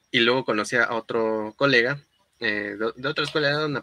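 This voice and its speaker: A man with a medium pitch and ordinary pitch variation talks at a moderate pace in a bright, sharp tone, with a dry, close sound and no echo. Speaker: engineer and entrepreneur. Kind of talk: casual interview chat.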